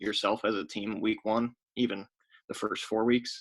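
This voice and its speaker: Quiet and with fairly even intonation, a man speaks at a medium pitch. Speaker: podcast co-host. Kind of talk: casual chat. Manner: quiet, hushed.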